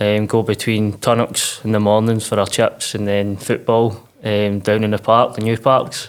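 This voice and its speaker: The speaker has a Lanarkshire accent and a monotone, flat intonation. The pace is moderate, with hardly any pauses. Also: man, fairly low pitch for a man. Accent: Scottish (Lanarkshire). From Scotland, Uddingston near Glasgow. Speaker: mental health podcast guest, clothing brand founder. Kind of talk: casual interview.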